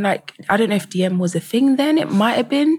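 A woman with a London accent and a fairly high pitch. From England, London. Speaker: photographer. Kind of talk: casual chat.

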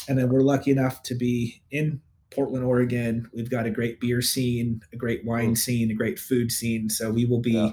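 Speaking with a West Coast US accent, a man keeps a medium pitch and a monotone, flat intonation at a moderate pace. His somewhat breathy voice runs on with hardly any pauses. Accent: General American, West Coast. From US West Coast, Northern California (Bay Area). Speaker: data analytics leader. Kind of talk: casual interview.

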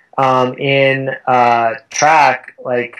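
A man with an American accent and a medium-pitched voice. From Southern California. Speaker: chiropractor and running coach. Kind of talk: interview.

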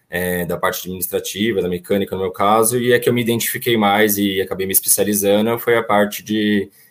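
A man talks in a normal speaking voice. His pitch is fairly low and his intonation fairly even. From São Paulo. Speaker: auto parts business owner. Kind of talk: panel discussion.

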